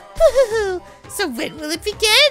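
A woman's cartoonish character voice at a moderate pace, with clear music in the background. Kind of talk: cartoon villain. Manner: gleeful, mocking, theatrical.

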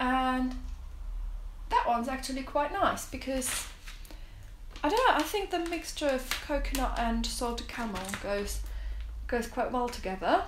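A woman's high-pitched voice at a moderate pace, with long, frequent pauses and noticeable background noise. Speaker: food reviewer. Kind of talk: casual review vlog chat. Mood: relaxed, friendly. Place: home room.

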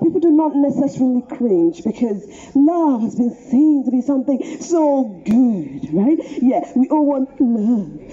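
A woman talks with lively intonation at a high pitch. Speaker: street preacher. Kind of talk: street preaching sermon. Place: street. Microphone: pa.

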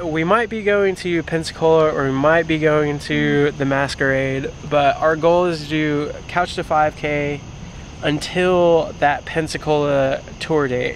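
Light background noise sits under a dry sound with no echo. A man speaks fairly slowly with fairly even intonation. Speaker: vlogger. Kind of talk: casual vlog chat. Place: street. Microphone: phone near.

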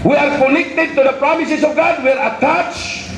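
A man with an extremely high pitch talks in an animated tone, with light background noise and audible room echo. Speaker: preacher. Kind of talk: sermon. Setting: church. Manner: animated, rhetorical, seeking congregation responses with 'Amen?'; code-switching between English and Tagalog/Hiligaynon. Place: church. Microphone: handheld.

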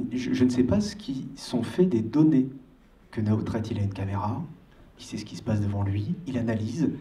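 With a dark, mellow tone and a somewhat breathy quality, a man talks at a medium pitch using lively intonation. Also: moderate pace. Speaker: audience member. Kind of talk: audience question. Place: hall. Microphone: handheld.

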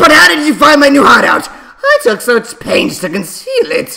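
Using a put-on character voice, a man talks at a moderate pace with extremely high pitch. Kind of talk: comic overacting. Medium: solo performance. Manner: gloating, theatrical villain.

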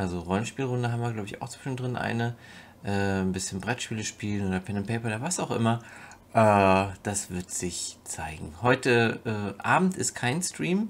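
At a moderate pace, a man speaks. He uses lively intonation. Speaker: vlogger, streamer. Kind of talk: casual vlog chat. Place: home room. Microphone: webcam.

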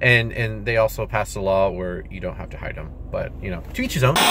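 A man with an American accent talks at a fairly quick pace. The sound is dry with no echo, with noticeable background noise. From Texas. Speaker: YouTuber vlogger. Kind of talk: casual vlog. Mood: relaxed, sometimes irritated. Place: car. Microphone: phone near.

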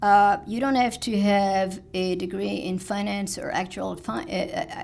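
Vocal fry runs through the voice of a woman speaking with a French accent. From France. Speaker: village president. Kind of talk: speech. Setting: stage with audience. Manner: halting. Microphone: podium.

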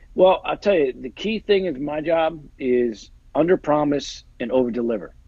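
An ordinary speaking voice from a man with an American accent, at a moderate pace, with a quiet background and a dry sound with no echo. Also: fairly high pitch for a man, lively intonation. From New Jersey. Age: 40s. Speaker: NFL agent and actor; actor. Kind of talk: casual chat. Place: home room. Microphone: earbuds.

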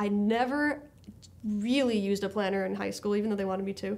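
The pitch of the woman's speech varies in an ordinary way. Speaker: high school English teacher. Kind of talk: interview. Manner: animated. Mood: warm, reflective.

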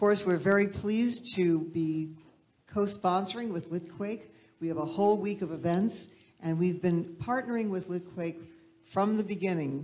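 This woman has a plain, everyday voice, fairly low in pitch, with ordinary pitch variation and a moderate pace. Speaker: events director. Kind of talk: welcome announcement. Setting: stage with audience.

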